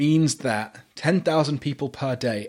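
Someone speaks with a British accent at a moderate pace on a very clean recording with a silent background. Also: man. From UK. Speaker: podcast host. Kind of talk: casual chat.

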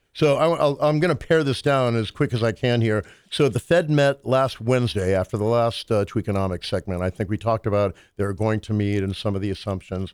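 An ordinary speaking voice from a man at medium pitch, fairly quick and with lively intonation, in a dry, close sound with no echo and a very clean recording with a silent background. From US military family, Southern parents. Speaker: musician and economics commentator. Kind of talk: casual chat.

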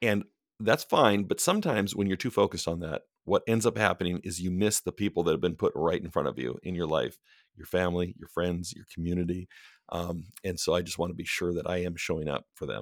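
A man with a very deep, low voice speaks at a fairly quick pace with ordinary pitch variation, recorded very cleanly against a silent background. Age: 40s. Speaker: author and book editor. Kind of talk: casual chat.

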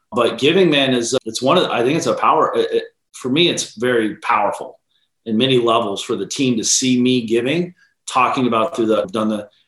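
An ordinary speaking voice from a man with an American accent, at a fairly quick pace, on a very clean recording with a silent background. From Ohio, near Columbus. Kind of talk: interview.

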